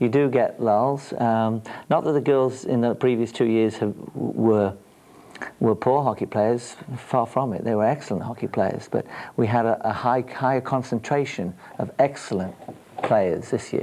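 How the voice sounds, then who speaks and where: A man's dark, mellow voice at medium pitch, with an English accent, fairly even intonation and a moderate pace. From England. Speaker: girls field hockey coach. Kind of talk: TV interview. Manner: hesitant, many fillers.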